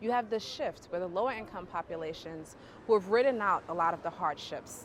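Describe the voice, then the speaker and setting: A woman with a New York accent speaks at a fairly quick pace. Her intonation is lively. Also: medium pitch for a woman. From Bedford Stuyvesant, Brooklyn, New York. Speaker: urban planner and professor. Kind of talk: interview answer. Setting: outdoors.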